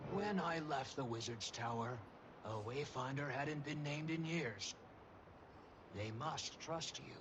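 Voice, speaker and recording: A man's put-on character voice over loud background noise. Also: fairly high pitch for a man, moderate pace. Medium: game stream. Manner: dry, understated.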